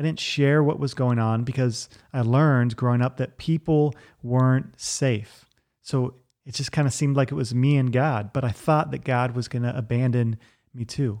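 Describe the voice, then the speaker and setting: On a very clean recording with a silent background, a man with a normal speaking voice and medium pitch talks at a moderate pace. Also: fairly even intonation. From Virginia, US. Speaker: podcast host. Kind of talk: personal testimony.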